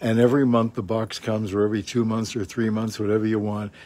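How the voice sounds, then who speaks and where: A man with a Canadian accent and medium pitch speaks in a dark, mellow tone, with dry sound with no echo. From Canada. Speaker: co-host and former broadcaster; co-host. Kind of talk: casual chat. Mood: chatty, telling an anecdote. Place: garden.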